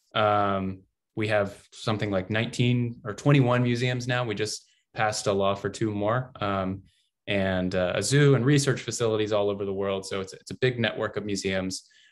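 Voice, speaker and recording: The speaker has an American accent and a fairly even intonation. The background is quiet. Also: man, fairly low pitch for a man. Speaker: digital interactive designer. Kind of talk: online workshop presentation. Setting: video call. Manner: fast; halting, many fillers.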